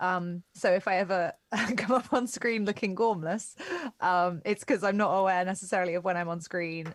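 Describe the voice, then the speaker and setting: A woman with a British accent, fairly low in pitch, at a moderate pace. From Britain. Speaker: XR technical specialist. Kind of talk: live workshop stream. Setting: video call with slight delay.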